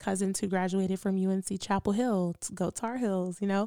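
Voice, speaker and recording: Recorded very cleanly against a silent background, with a dry, close sound and no echo, a woman speaks with an American accent. Her medium-pitched voice has a dark, mellow tone and fairly even intonation. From US South, Durham, North Carolina. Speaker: podcast host, radio personality. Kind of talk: solo monologue podcast.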